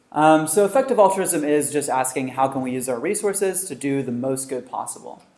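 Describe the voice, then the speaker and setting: Ordinary pitch variation marks this voice. It belongs to a man. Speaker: researcher and author giving a talk. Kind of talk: lecture. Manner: fast.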